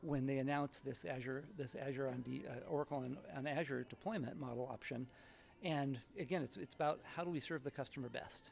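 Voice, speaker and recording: Fairly quick delivery with ordinary pitch variation. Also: man, fairly high pitch for a man. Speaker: tech partnership executive. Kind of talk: conference interview. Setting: tech conference event. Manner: fast.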